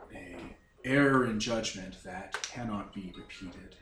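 A man in a put-on character voice, with a slight echo. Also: fairly low pitch for a man, moderate pace. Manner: formal, polite, icy.

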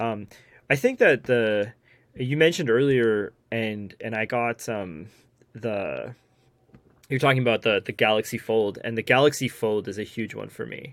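A man talks in a plain, everyday voice at medium pitch and a moderate pace. His pitch varies in an ordinary way while his loudness swings a lot. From Newfoundland, Canada. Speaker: bag reviewer and photographer. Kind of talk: casual chat.

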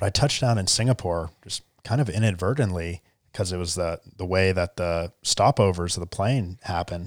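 With an American accent, a man speaks at a moderate pace, leaving hardly any pauses. His very deep, low pitch shows ordinary pitch variation. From US South, Charleston, South Carolina. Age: 20s. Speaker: tech entrepreneur. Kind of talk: interview. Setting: studio.

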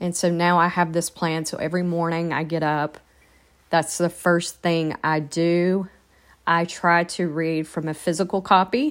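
In a very clean recording with a silent background, a woman talks fairly slowly at a fairly low pitch. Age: 40s. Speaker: podcast host. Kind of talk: casual monologue. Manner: hesitant, many fillers.

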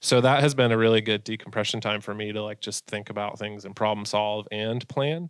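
A man's normal speaking voice, with an American accent, fairly even intonation and a fairly quick pace with hardly any pauses, on a very clean recording with a silent background. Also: fairly low pitch for a man. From Massachusetts, US. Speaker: online gear retailer owner and bird hunter. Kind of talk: casual interview.

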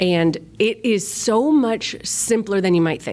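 A woman with an upstate New York accent speaks in an energetic tone. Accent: flat upstate New York. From upstate New York, Rochester. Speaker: children's ministry volunteer leader. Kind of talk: podcast interview.

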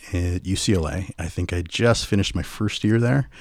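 An American-accented man speaks with a very deep, low pitch and lively intonation. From US West Coast, Los Angeles. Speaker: voiceover artist, wedding guest storyteller. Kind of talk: casual interview. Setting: podcast microphone, remote recording.

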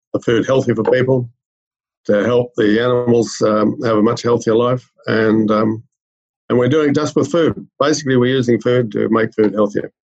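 In an Australian accent, a man speaks at a moderate pace and medium pitch with fairly even intonation. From rural Australia. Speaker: medical researcher. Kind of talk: interview.

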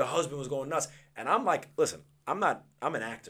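A man's fairly high-pitched voice with an American accent, a plain, everyday voice at a moderate pace on a very clean recording with a silent background. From Long Island, New York. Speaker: actor and TV personality. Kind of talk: casual podcast interview.

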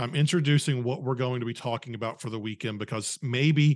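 In a normal speaking voice, a man talks at a fairly quick pace and medium pitch with ordinary pitch variation. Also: quiet background. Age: 30s. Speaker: podcast host and former youth leader. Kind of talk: casual chat.

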